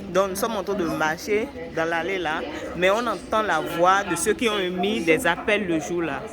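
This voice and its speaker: Amid noticeable background noise and audible room echo, a woman talks at a fairly slow pace with ordinary pitch variation. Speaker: travel vlogger. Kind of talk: walking vlog commentary. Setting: walking through a museum exhibit. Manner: quiet, low voice; halting.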